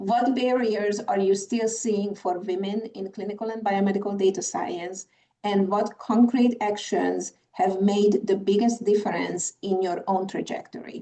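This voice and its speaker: With a Hungarian accent, a woman speaks in a flat monotone and hardly pauses. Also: medium pitch for a woman, fairly slow pace. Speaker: conference moderator. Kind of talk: panel moderation. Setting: video call.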